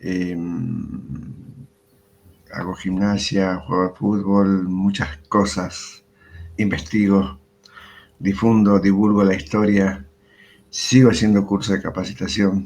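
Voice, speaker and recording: The speech moves at a very slow pace with fairly even intonation and long, frequent pauses. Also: man, fairly low pitch for a man. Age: 60s. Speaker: retired history teacher. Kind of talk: interview. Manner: hesitant, many fillers.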